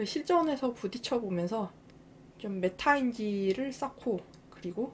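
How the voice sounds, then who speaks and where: Using lively intonation, a woman speaks at a very slow pace. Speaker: game youtuber. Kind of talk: casual monologue to viewers. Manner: hesitant, many fillers.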